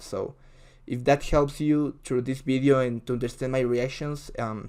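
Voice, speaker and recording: Medium-pitched male speech in a Spanish accent, fairly even in intonation and moderate in pace, on a very clean recording with a silent background. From Ecuador. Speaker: video reactor. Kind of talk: casual reaction commentary. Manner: halting, with many fillers.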